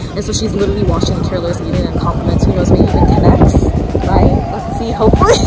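A woman speaks with music in the background. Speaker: travel vlogger. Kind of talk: casual vlog chat. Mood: excited, amused storytelling. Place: street. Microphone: phone near.

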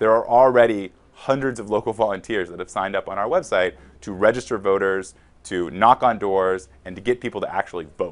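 A man with an American accent talks at a fairly quick pace in a fairly low voice, his intonation fairly even but his loudness swinging widely. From California Central Valley; California. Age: 30s. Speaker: congressional candidate; candidate. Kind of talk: interview. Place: studio. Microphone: lapel.

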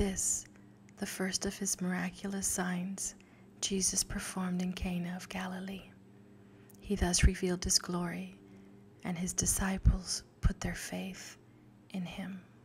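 Soft-spoken, with a gentle tone, a woman talks at a fairly slow pace with long, frequent pauses, monotone flat intonation and big swings in loudness over light background noise. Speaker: ASMR creator praying the rosary. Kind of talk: rosary prayer and scripture reading, ASMR. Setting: close microphone, studio-like. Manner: soft-spoken, gentle. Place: home room. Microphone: studio mic.

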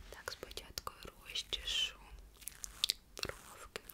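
In a whisper, the woman keeps her tone gentle. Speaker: ASMR content creator. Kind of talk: ASMR roleplay, close-up personal attention. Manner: soft, whispered, gentle. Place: home room.

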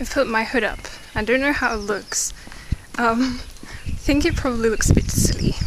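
Over noticeable background noise, a woman speaks with ordinary pitch variation in a dry sound with no echo. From England. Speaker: vlogger. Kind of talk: casual talk to camera. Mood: amused storytelling. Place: street. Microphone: phone near.

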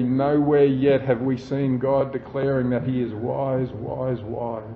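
Monotone, flat intonation in an Australian accent, with audible room echo and noticeable background noise. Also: man. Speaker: pastor. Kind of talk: sermon.

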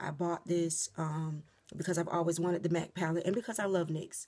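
A woman speaks with a dark, mellow tone at a fairly low pitch. Her intonation stays monotone and flat. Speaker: beauty vlogger. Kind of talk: casual vlog chat. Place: home room. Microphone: phone near.

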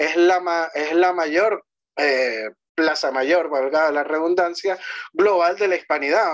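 In a quiet background, a man speaks at a very slow pace with ordinary pitch variation. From Venezuela. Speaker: history commentator. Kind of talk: conversational interview on history and language. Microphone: video call.

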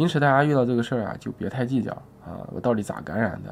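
A man with ordinary pitch variation. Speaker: health vlogger. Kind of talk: monologue video sharing experience. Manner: conversational, explanatory. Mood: calm, reassuring. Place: home room. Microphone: phone near.

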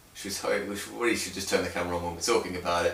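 Amid strong room echo, a man talks at a very fast pace in a low pitch with vocal fry, a fairly bright tone and fairly even intonation.

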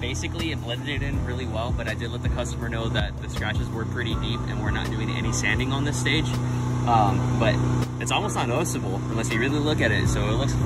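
Clear music plays in the background. A man talks at a very fast pace. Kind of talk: tutorial. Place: street. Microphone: phone near.

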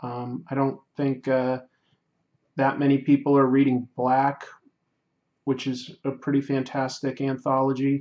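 Against a quiet background, a man speaks fairly slowly in a monotone, flat intonation with long, frequent pauses. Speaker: comics artist and YouTuber live streaming a sketch; artist livestreamer. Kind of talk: casual livestream chat while drawing. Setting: home livestream. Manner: halting, many fillers. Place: home room.

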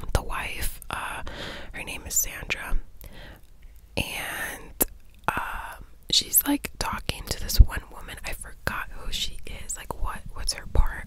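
Soft-spoken and whispering, a woman talks at a very slow pace with long, frequent pauses. The sound is dry with no echo, though there is noticeable background noise. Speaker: vlogger. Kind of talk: casual vlog chat, movie recap. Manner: soft close-mic ASMR whisper. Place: home room. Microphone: studio mic.

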